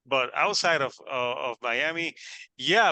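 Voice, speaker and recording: In a dry, close sound with no echo and a quiet background, a man with a Puerto Rican accent speaks in a bright, sharp tone. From Puerto Rico. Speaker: podcast host. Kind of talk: casual interview. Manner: halting, many fillers and repetitions.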